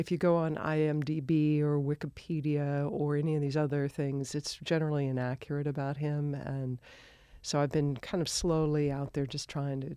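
A woman with an American accent speaks at a moderate pace in a very deep, low voice, her dark, mellow tone held in a flat monotone. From Colorado. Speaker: widow of a film star, speaking about his life. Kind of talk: interview. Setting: studio.

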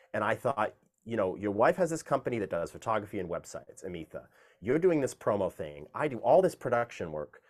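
At a very fast pace, a man with medium pitch talks with vocal fry and very wide pitch swings. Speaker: music producer and opera singer. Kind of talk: interview. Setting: video call.

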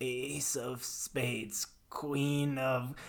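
A man puts on a character voice that is raspy and sits at a medium pitch. His intonation stays monotone and flat. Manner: eerie, possessed.

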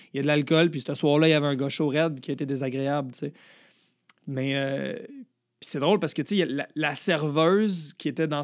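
A man with a Quebec accent talks at a fairly quick pace in an animated tone, his pitch fairly high. The recording is very clean, with a silent background. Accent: Québécois French. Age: 30s. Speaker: comedian. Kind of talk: casual chat.

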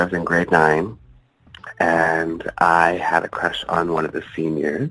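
At a fairly slow pace, a man in a Canadian accent speaks with a very deep, low pitch, a bright, sharp tone, and monotone, flat intonation. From Ontario, Canada. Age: 30s. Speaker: adult film performer. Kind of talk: interview.

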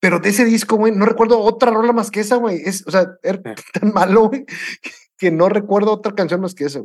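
The man's pitch is high, with ordinary variation. He speaks at a fairly quick pace. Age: 40s. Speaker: podcast co-host. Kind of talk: casual chat.

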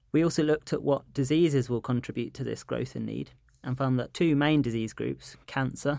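A man's medium-pitched, dark, mellow voice with a London accent, fairly quick pace and monotone, flat intonation, on a very clean recording with a silent background. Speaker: physician and researcher. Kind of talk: interview.

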